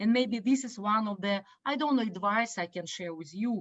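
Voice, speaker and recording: Somewhat breathy, a woman with a Russian accent and a fairly high pitch speaks at a moderate pace. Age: 50s. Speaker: business educator. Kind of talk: online talk. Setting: video call. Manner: halting, many fillers.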